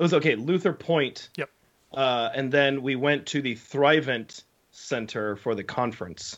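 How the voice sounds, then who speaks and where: A man's fairly high-pitched, ordinary speaking voice, an ordinary speaking voice with ordinary pitch variation, at a fairly slow pace. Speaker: podcast co-host, camp worker. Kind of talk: casual chat.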